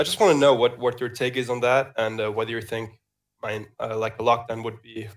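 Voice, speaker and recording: This man talks at a moderate pace with a medium pitch. His intonation stays monotone and flat. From Germany and Denmark. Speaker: caller. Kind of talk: call-in conversation. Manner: halting.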